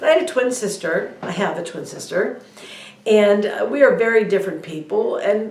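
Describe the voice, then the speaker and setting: Audible room echo, noticeable background noise and a moderate pace. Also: woman. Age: 60s. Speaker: spiritual video blogger. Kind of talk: personal monologue. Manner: hesitant, many fillers.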